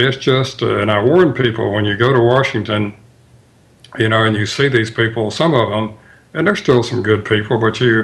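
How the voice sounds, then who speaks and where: With a Mississippi accent, a man talks in fairly even intonation. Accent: Mississippi accent, smooth. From US South, Tupelo, Mississippi. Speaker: author. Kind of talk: radio interview. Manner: halting, many fillers.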